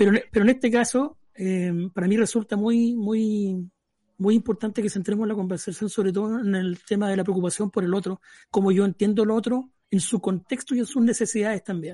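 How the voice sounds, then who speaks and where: Against a quiet background, a man with a high-pitched voice and a dark, mellow tone talks with fairly even intonation in a dry, close sound with no echo. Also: fairly quick pace. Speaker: philosophy teacher and radio panelist. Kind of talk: casual radio panel discussion.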